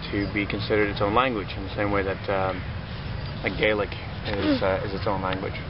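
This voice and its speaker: A man talks amid noticeable background noise and audible room echo. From Netherlands, Limburg province. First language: Dutch. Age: 30s. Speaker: chef and mind-body therapist. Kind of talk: casual street interview.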